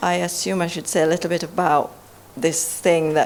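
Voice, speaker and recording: Noticeable background noise sits behind a woman with a very deep, low voice. She talks fairly quickly with fairly even intonation. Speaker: academic, anti-racism researcher. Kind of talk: panel discussion. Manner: loud.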